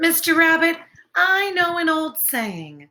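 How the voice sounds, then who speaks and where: A woman puts on a squeaky character voice at an extremely high pitch. She speaks at a fairly slow pace with ordinary pitch variation. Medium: read story. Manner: cheerful, friendly.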